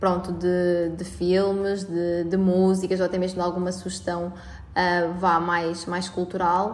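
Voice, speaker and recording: In a room with audible echo, a woman speaks in a fairly low pitch with monotone, flat intonation. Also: fairly slow pace. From Portugal, Albergaria-a-Velha (Aveiro district). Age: 20s. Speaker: student union president. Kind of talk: interview. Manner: halting, frequent repetitions and fillers.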